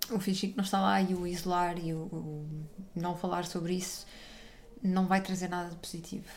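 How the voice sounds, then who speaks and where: The voice belongs to a woman at medium pitch, somewhat breathy. She moves at a fairly quick pace. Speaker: podcast host. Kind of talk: casual interview chat.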